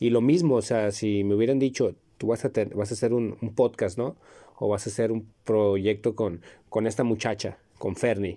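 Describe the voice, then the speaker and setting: A man with a Mexican accent, medium in pitch with a dark, mellow tone, fairly even intonation and a moderate pace, on a very clean recording with a silent background. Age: 30s. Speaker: podcast host, psychology student. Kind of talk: casual chat.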